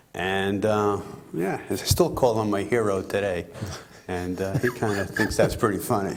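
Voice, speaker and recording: A moderate pace and fairly even intonation, with echo from the room clearly audible. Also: man, fairly low pitch for a man. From US Northeast, eastern Long Island, New York. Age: 60s. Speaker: race car driver. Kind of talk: interview.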